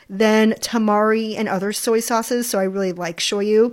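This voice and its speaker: Here a woman speaks with an unremarkable speaking voice at a fairly high pitch. Her intonation stays fairly even. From New York, then Hawaii as a teen. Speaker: food podcast host, food blogger and cooking instructor. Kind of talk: solo cooking podcast talk. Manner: cheerful, laughs often.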